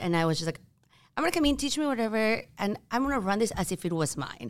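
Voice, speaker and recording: With a Peruvian accent, a woman speaks at a very fast pace, her pitch swinging very widely. The recording is very clean, with a silent background. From Peru (Lima). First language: Spanish. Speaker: start-up co-founder. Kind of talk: casual chat. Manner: animated.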